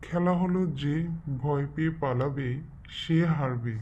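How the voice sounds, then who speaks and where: Over clear background noise, a cartoonish character voice speaks at a fairly slow pace in a low-to-middle pitch. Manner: playful, mischievous.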